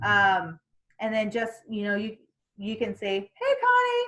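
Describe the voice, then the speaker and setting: Speaking loudly at a fairly slow pace, a woman lets her pitch swing very widely. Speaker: sales team trainer. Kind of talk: training session.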